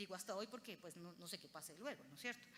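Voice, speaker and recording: The voice has a bright, sharp tone and a paisa accent. Its intonation is lively. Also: woman. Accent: paisa Colombian Spanish. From Colombia, Antioquia (paisa). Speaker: lawyer and lecturer. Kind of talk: conference lecture.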